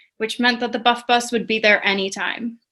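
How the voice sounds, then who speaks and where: A woman's fairly high voice at a moderate pace, flat and monotone, against a quiet background. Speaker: student writer. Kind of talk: reading aloud. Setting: video call.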